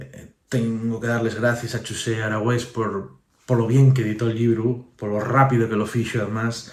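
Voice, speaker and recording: This man's voice sits at a medium pitch and is somewhat breathy. His intonation is monotone and flat, with audible room echo around it. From Asturias. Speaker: author. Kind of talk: book presentation. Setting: book fair. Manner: halting.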